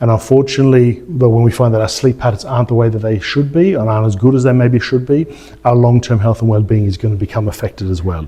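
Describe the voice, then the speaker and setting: A man's medium-pitched voice in an Australian accent, with ordinary pitch variation and noticeable background noise. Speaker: chiropractor. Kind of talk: event introduction. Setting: stage with audience.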